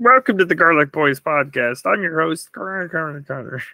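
A man with a fairly high pitch keeps a moderate pace as he puts on a character voice. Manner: goofy.

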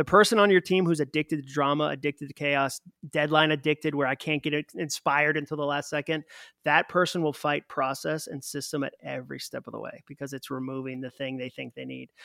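In an American accent, a man with an unremarkable speaking voice talks at a fairly quick pace, his pitch fairly high and his intonation fairly even. The sound is dry and close with no echo, and the recording is very clean with a silent background. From Massachusetts. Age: 40s. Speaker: author. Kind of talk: interview.

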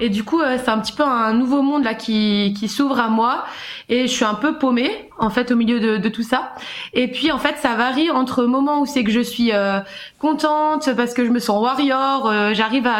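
With audible room echo, a woman speaks at a moderate pace in a high pitch, her loudness very even and her intonation fairly even. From Switzerland. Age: 20s. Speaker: caller sharing personal experience. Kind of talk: testimony.

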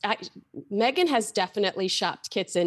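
An ordinary speaking voice with an American accent, lively intonation and a moderate pace against a quiet background. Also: woman. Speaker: royal commentator. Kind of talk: casual chat.

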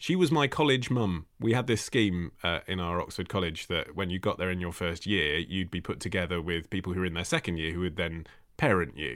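A man with a very deep, low pitch speaks at a fairly quick pace. His intonation is lively, and he leaves hardly any pauses. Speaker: podcast host and radio presenter. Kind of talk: casual chat.

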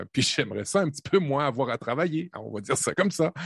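In a quiet background, a man speaks with very wide pitch swings. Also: dry, close sound with no echo. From Quebec, Canada (born in Normandy). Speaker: tech podcast co-host, team manager. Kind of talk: casual chat. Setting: video call.

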